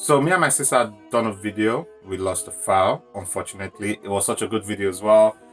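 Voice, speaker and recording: With music in the background, a man talks at a moderate pace, his fairly low voice carrying lively intonation. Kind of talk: casual storytime to camera.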